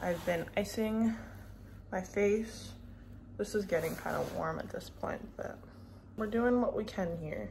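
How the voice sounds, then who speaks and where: Noticeable background noise accompanies a woman talking fairly slowly. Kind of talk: casual vlog chat. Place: home room. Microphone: phone near.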